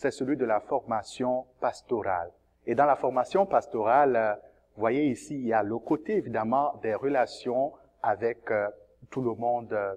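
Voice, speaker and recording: Over a quiet background, a man with an ordinary speaking voice and medium pitch talks at a fairly slow pace with ordinary pitch variation. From Cameroon. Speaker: seminarian, theology student. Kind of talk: testimony.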